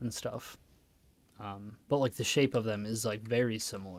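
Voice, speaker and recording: A man with a Midwestern accent, medium pitch, moderate pace and fairly even intonation, on a very clean recording with a silent background. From Wisconsin, US Midwest. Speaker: gaming streamer. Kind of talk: casual chat. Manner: halting.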